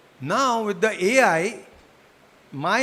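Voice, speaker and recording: A raised, projected voice with a bright, sharp tone and a slight Gujarati accent. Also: man. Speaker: psychiatrist. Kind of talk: lecture.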